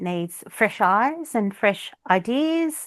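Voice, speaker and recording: Speaking very slowly with lively intonation, a woman with an Australian accent is heard against a quiet background. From Australia, Melbourne (Flemington). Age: 50s. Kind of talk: casual interview chat. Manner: hesitant, many fillers.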